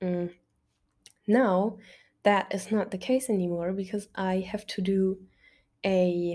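Speaking at a fairly slow pace, a woman with a German accent has a dark, mellow tone. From Germany. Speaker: podcast host and university student. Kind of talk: casual solo monologue. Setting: bedroom at home. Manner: animated; talkative.

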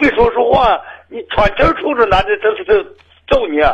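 A man's voice sits at an extremely high pitch. He moves at a moderate pace with lively intonation. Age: old. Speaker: caller. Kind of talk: phone call. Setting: phone call. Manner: halting.

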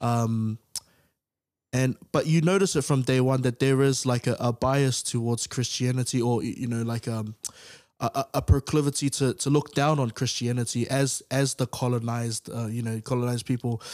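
Recorded very cleanly with a silent background and a dry, close sound without echo, a man speaks in an ordinary speaking voice at medium pitch, with fairly even intonation and a moderate pace. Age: 20s. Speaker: podcast co-host. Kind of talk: casual discussion.

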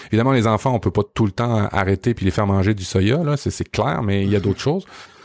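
With a Quebec accent, a man speaks at a fairly low pitch with ordinary pitch variation, in a dry, close recording with no echo and a very clean, silent background. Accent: Québécois French. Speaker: podcast host. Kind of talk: casual chat.

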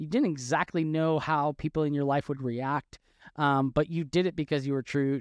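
On a very clean recording with a silent background and a dry, close sound with no echo, a man talks fairly quickly at a fairly high pitch in an unremarkable speaking voice. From Wisconsin. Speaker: podcast host, former journalist. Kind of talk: interview.

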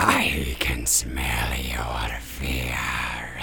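A put-on character voice comes through with clear background noise. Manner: menacing.

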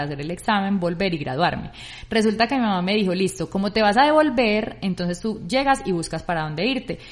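With a plain, everyday voice, a woman talks at a fairly quick pace in a medium pitch, her intonation lively. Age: 30s. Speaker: podcast co-host. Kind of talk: casual chat.

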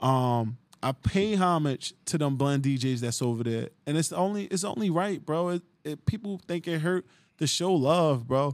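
Here a man speaks with an American accent at a moderate pace. His pitch is fairly high and his intonation lively. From New Jersey, Jersey City. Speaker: DJ. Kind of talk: casual chat.

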